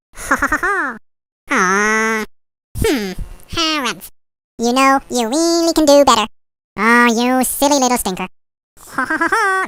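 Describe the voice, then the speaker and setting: At a moderate pace, a put-on character voice delivers lines with long, frequent pauses. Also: female-sounding voice, high pitch for a woman. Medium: video game. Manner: teasing, chuckling.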